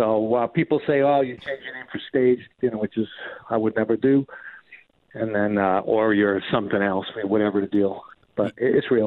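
A medium-pitched male voice in a New York accent, with fairly even intonation. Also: moderate pace. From New York (Queens, Long Island). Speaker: rock guitarist. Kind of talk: casual interview. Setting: phone call.

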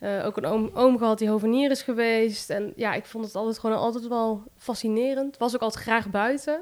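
A woman with a fairly high pitch talks at a fairly quick pace with fairly even intonation and hardly any pauses. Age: 20s. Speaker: plant shop owner. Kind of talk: interview. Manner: hesitant, many fillers.

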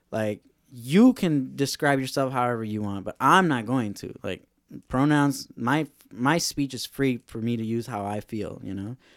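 In a very clean recording with a silent background, a man with an ordinary speaking voice talks at a moderate pace, medium pitch and ordinary pitch variation. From Los Angeles, Mexican-American. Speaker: podcast host, bike mechanic. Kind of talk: casual chat. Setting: studio.

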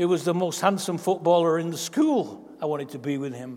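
A man with an English accent talks at a moderate pace. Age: 80s+. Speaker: pastor. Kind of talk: sermon. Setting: church.

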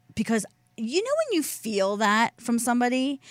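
With a Philadelphia accent, a woman speaks in lively intonation. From Delaware County, Pennsylvania (Philadelphia area). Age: 30s. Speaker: radio talk show co-host. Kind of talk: casual chat. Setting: radio studio.

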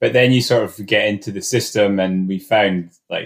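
On a very clean recording with a silent background, a man with a Scottish accent talks with ordinary pitch variation. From Scotland, remote area. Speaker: alpine climber. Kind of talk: casual interview.

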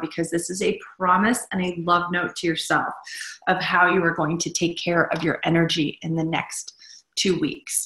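The speaker is a woman with an ordinary speaking voice. Her pitch is fairly low. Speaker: meditation guide. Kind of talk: guided meditation. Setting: live online session with group. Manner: slow, soothing, calm; warm, gentle.

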